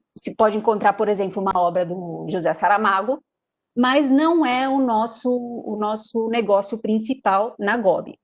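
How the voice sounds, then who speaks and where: Speaking fairly slowly with a Brazilian accent, a woman uses a fairly high pitch with ordinary variation. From Brazil, São Paulo. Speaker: sales representative. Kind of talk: webinar presentation. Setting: online webinar. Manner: hesitant, many fillers.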